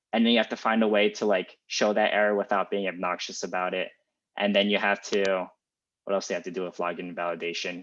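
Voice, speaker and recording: Over a quiet background, a man speaks very fast in a flat monotone at a fairly low pitch. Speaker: student tech club presenter. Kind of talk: informal lecture. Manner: casual, many fillers.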